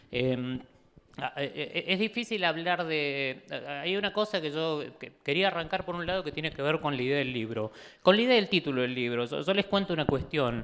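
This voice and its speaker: A man talks with lively intonation at a fairly high pitch. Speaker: author and political activist. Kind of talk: book presentation talk. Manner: fast; halting, many fillers and restarts.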